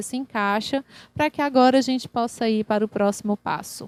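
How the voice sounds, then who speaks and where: The recording is dry and close with no echo. A woman with an ordinary speaking voice talks at a fairly high pitch and a moderate pace, her intonation fairly even. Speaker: singer-songwriter and vocal workshop teacher. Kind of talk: online workshop lecture. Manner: casual, conversational with fillers.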